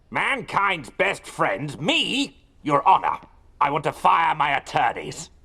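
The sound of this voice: This cartoonish character voice sits at a middle pitch and moves at a fairly slow pace.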